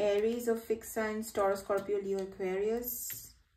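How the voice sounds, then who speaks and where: A woman's dark, mellow voice amid audible room echo. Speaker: tarot card reader on a video channel. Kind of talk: casual, conversational. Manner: fast talker.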